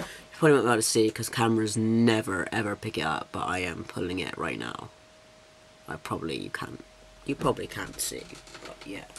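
Over noticeable background noise, a man speaks at a fairly quick pace with lively intonation and big swings in loudness. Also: fairly low pitch for a man. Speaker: vlogger documenting transition. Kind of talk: casual vlog. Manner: chatty, rambling.

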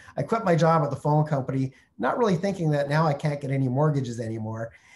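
A somewhat breathy man with a Canadian accent, at a very fast pace. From Canada (Montreal, then Calgary). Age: 50s. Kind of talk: webinar Q&A. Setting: online video call from Mexico. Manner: friendly, conversational. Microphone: video call.

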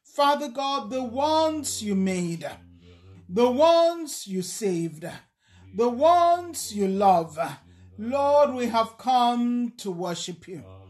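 A woman's high voice, very slow, with very wide pitch swings and big shifts in loudness. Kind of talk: spoken prayer. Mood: fervent, worshipful. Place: home room. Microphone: phone near.

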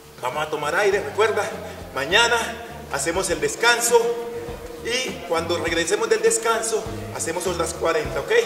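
Noticeable background noise surrounds a man who speaks at a moderate pace. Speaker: fitness instructor. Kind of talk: workout instruction, counting reps. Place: open country. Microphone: camera far.

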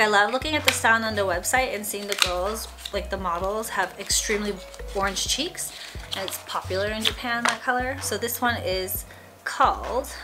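Clear background music accompanies the recording. A woman talks over it at a moderate pace. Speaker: vlogger. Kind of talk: casual vlog chat. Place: home room. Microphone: camera far.

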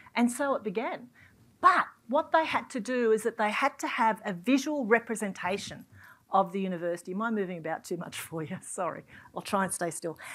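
Speaking at a fairly quick pace with an Australian accent, a woman uses lively intonation. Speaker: university executive and event moderator. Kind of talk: panel moderation. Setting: stage with audience. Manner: animated. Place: hall. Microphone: lapel.

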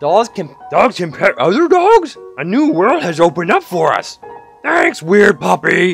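Using a put-on character voice pitched high, a man talks at a moderate pace while faint music plays in the background. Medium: game stream. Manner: suspicious, then wonderstruck.

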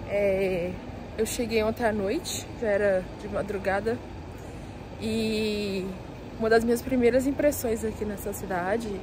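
At a fairly slow pace, a woman speaks with fairly even intonation and long, frequent pauses. The sound is dry with no echo, with noticeable background noise. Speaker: travel vlogger. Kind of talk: casual vlog chat. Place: street. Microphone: phone near.

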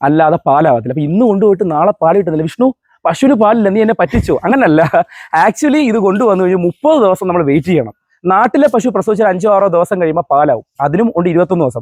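Recorded with a dry, close sound and no echo, a man's high-pitched voice swings very widely in pitch while keeping very even loudness. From Kerala, Kollam district. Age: 20s. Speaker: cattle trader. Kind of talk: interview with sales pitch. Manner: animated.

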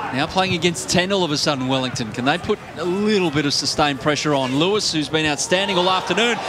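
Sounding excited, a man with a fairly high pitch and ordinary pitch variation talks with hardly any pauses over noticeable background noise. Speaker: football match commentator. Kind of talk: live sports commentary. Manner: rising, excited tone at key moments.

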